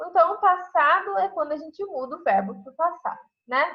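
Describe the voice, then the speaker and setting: This woman talks at a moderate speed. Her pitch jumps over a very wide range. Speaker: English teacher. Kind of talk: lecture.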